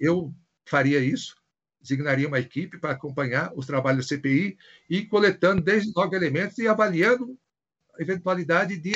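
With a somewhat breathy voice, the man keeps a moderate speed and his pitch varies in an ordinary way. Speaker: federal prosecutor. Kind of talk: video interview. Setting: video call.

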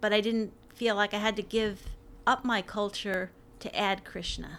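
A woman with an American accent and an ordinary speaking voice, fairly high in pitch and at a fairly slow pace, in a very clean recording with a silent background. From New York. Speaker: university librarian. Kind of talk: casual interview.

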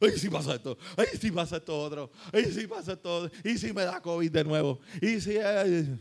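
In a Puerto Rican accent, a man with a high pitch speaks in an animated tone at a moderate pace, using ordinary pitch variation. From Puerto Rico. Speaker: pastor. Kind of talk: sermon, preacher in full flow, rallying a live congregation with call-and-response. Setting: church with live congregation. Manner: animated, fervent, exhortative; conversational, colloquial, humorous asides.

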